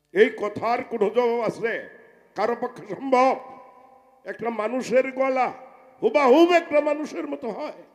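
There is noticeable background noise as a man talks in an extremely high pitch with lively intonation. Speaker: folk singer. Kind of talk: stage talk between songs.

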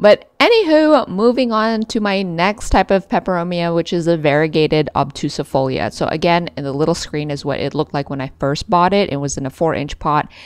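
The speech runs at a fairly quick pace with hardly any pauses. Its intonation is lively. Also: woman, fairly low pitch for a woman. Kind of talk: casual vlog chat. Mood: enthusiastic, fond of plants. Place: home room. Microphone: phone near.

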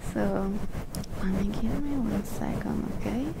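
Loud background noise runs behind the speech. A woman talks at a fairly slow pace. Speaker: ASMR creator. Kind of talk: ASMR mic brushing, talking to camera. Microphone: studio mic.

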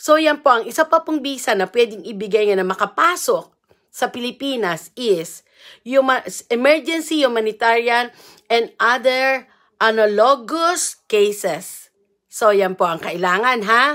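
A woman's high-pitched voice at a fairly slow pace, lively in intonation, over a quiet background. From Philippines. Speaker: vlogger and marriage consultant; livestream host. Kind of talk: live stream reading rules aloud. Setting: live video at in-laws' home. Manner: informal, halting. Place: home room. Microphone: earbuds.

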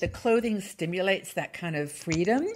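At a medium pitch with big pitch swings, a woman speaks at a fairly slow pace with a slightly husky edge.

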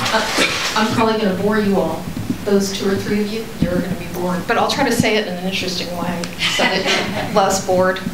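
A woman with an American accent speaks at a fairly quick pace amid loud background noise and audible room echo. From Texas. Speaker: therapist. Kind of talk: lecture. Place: meeting room.

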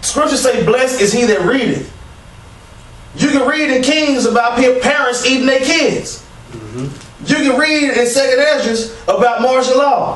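With audible room echo, a man speaks at a moderate pace in an extremely high pitch, using fairly even intonation and long, frequent pauses. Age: 30s. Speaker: street preacher / religious channel co-host. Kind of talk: religious discussion, preaching. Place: empty room.

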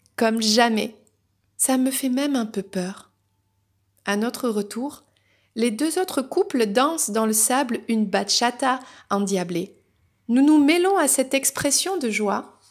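Against a quiet background, a woman with a high-pitched voice talks at a very slow pace with lively intonation and long, frequent pauses. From France, raised in countryside near Paris. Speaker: novelist and spiritual guidance youtuber; spiritual guidance youtuber. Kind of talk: reading aloud. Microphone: phone near.

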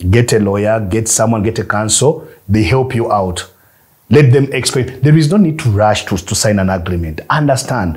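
A somewhat breathy man's voice with lively intonation, at a moderate pace over a quiet background. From Uganda. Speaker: film producer and distributor. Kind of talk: masterclass talk. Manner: repetitive, halting. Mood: advising, sometimes laughing. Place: studio.

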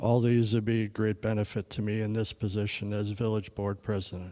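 In a Wisconsin accent, a man talks at a moderate pace with monotone, flat intonation and a fairly low pitch, on a very clean recording with a silent background. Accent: Upper Midwest (Wisconsin). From Wisconsin, Sheboygan County. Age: 40s. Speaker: local election candidate. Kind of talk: candidate forum statement. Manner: formal.

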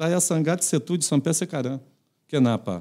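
The voice has a Portuguese accent and a dark, mellow tone. Pitch varies in an ordinary way over a quiet background. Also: man. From Brazil. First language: Portuguese (speaking Indonesian). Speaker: retired footballer and coach; guest. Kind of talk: casual interview. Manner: halting. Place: studio. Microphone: studio mic.

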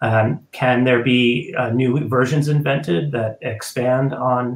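A man with an American accent sounds somewhat breathy, and the room has an audible echo. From United States. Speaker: ballet company executive director. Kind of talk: live panel discussion. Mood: thoughtful, measured. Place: home room. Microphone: webcam.

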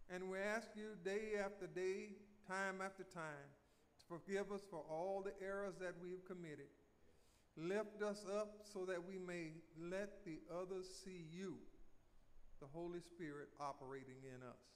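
This man has a high pitch. He speaks at a fairly slow pace with ordinary pitch variation. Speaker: church leader. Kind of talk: casual remarks and prayer. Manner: warm, upbeat. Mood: warm, earnest. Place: church. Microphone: podium.

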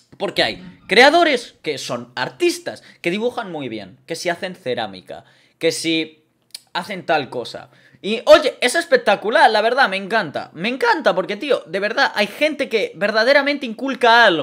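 Over a quiet background, a man talks at a fairly slow pace in an animated tone. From Spain. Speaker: streamer. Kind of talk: live stream monologue. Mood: indignant about online hate. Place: home room. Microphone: studio mic.

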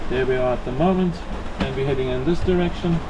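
There is noticeable background noise while a man speaks. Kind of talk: casual vlog chat. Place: boat. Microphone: camera far.

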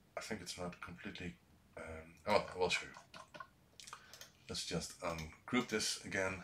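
A man with a Dutch accent speaks with a very deep, low pitch and ordinary pitch variation. His loudness swings widely over light background noise. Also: moderate pace. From Netherlands. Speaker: YouTuber, retro computer hardware maker. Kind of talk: live-streamed tutorial. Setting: live stream from workshop. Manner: halting, many fillers. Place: workshop.

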